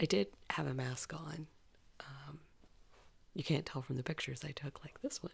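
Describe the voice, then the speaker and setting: Speaking quietly at a moderate pace, a woman with a very deep, low pitch and a somewhat breathy voice uses ordinary pitch variation and leaves long, frequent pauses. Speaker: vlogger. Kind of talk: casual vlog monologue. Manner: quiet, talking low.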